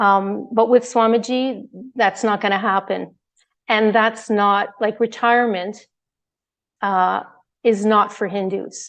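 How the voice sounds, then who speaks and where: Against a quiet background, a woman talks very slowly in a flat monotone, leaving long, frequent pauses. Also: fairly high pitch for a woman. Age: 60s. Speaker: devotee sharing experience. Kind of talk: testimony.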